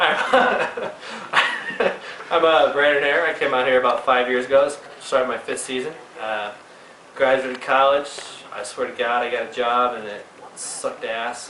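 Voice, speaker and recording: A man with an American accent at a fairly slow pace, with audible room echo and noticeable background noise. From Texas, Missouri City. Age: 30s. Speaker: ski shop worker. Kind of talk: casual chat.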